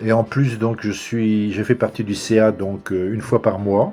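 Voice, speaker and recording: A man speaks at a fairly slow pace with music in the background. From Normandy, France (Pays d'Auge, Orbec). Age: 70s. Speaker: retired volunteer. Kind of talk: interview. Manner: hesitant, many fillers.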